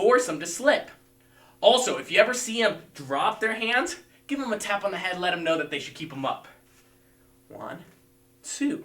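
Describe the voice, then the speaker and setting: A man with a high pitch uses a raised, projected voice with very wide pitch swings at a moderate pace, over noticeable background noise. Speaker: martial arts instructor. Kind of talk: live-streamed fitness class instruction. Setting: livestream video class. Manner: loud.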